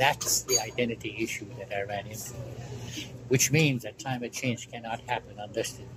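This male voice sits at a middle pitch. Its delivery is flat and monotone throughout. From Alaska. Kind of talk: oral history interview answer.

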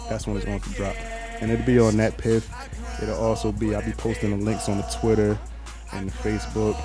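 A man is heard in a dry sound with no echo as clear music plays in the background. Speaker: interviewee. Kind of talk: interview answer. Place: home room. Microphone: handheld.

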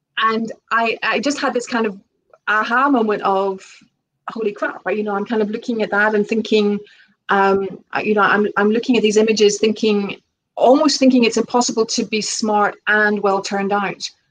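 Light background noise sits behind a woman with a plain, everyday voice, her fairly high pitch and fairly even intonation carried at a moderate pace. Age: 40s. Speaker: author; guest. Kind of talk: casual interview chat. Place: home room. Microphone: video call.

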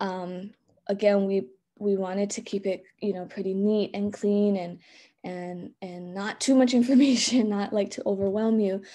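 Speaking with a Hawaiian accent, a woman keeps a moderate pace in a dark, mellow tone. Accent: Hawaii English. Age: 30s. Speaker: elementary school teacher. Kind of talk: conference presentation. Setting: video call. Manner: frequent fillers and repetitions. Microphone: webcam.

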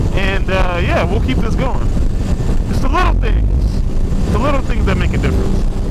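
A man speaks at a moderate pace with an American accent. The sound is dry with no echo, though loud noise fills the background. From Chicago. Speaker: motorcycle vlogger. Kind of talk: casual vlog commentary. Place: motorbike. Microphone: helmet.

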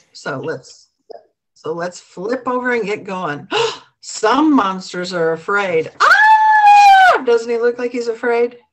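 Against a quiet background, a woman talks at a very slow pace. Her pitch swings very widely. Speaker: storyteller reading to children. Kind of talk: read-aloud storytime. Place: home room. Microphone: webcam.

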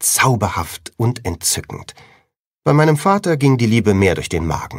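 Pitch swings very widely here. The speech moves at a moderate pace. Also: man. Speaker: audiobook narrator. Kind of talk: audiobook reading (first-person teen fantasy novel). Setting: studio.

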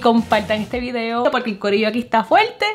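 Faint music plays in the background while the speaker talks at a fairly quick pace. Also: woman. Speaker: home cooking vlogger. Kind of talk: casual vlog chat. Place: kitchen. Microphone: camera far.

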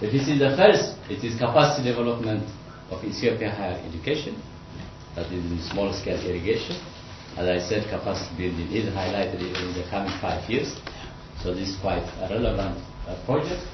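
A man speaks at a fairly quick pace in a fairly low voice, with ordinary pitch variation. Noticeable background noise and audible room echo fill the recording. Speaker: irrigation lecturer and researcher; presenter. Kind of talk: seminar presentation. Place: meeting room. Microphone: camera far.

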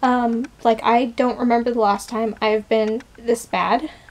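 Words come from a woman at a fairly slow pace. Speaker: vlogger. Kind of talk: casual vlog chat. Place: home room. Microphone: phone near.

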